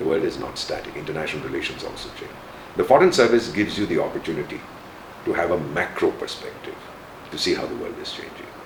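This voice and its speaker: A man talks at a very fast pace with big swings in loudness. Noticeable background noise and audible room echo fill the recording. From India. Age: 70s. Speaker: retired diplomat. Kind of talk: interview. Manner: animated.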